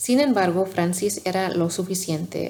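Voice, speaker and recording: The pace is fairly slow. The voice belongs to a woman. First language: not Spanish (learner) (speaking Spanish). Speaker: ASMR channel host reading aloud. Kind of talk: reading aloud. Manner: soft-spoken, quiet; halting, self-correcting.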